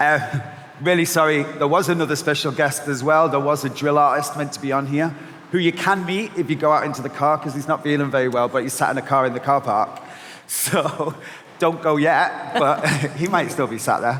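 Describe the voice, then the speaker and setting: The speech moves at a fairly quick pace with fairly even intonation. Noticeable background noise runs underneath. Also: man, fairly high pitch for a man. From Manchester, northern England. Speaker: agency founder and panel moderator. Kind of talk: panel discussion.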